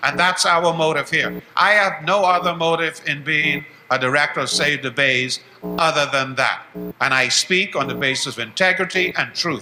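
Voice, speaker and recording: Music plays behind a man who speaks at a moderate pace with ordinary pitch variation. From Bahamas. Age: 70s. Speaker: educator and activist. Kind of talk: closing statement at town hall. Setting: town hall meeting broadcast live on radio.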